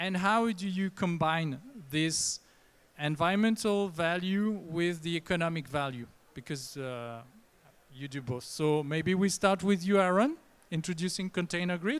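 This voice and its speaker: A man talks at a fairly slow pace. His voice is high-pitched, with ordinary pitch variation. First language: not English. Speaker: panel moderator; nonprofit co-founder and CEO. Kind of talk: panel discussion. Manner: hesitant, many fillers.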